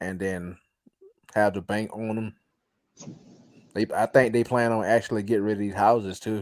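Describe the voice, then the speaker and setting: A man talks at a moderate pace in a monotone, flat intonation. He leaves long, frequent pauses. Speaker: caller. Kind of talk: casual chat.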